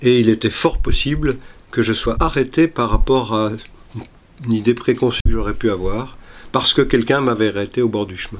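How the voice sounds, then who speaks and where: At a medium pitch, a man speaks at a moderate pace with ordinary pitch variation and vocal fry. His speech has long, frequent pauses. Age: 70s. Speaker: retired long-distance walker. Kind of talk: scripted narration. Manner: halting.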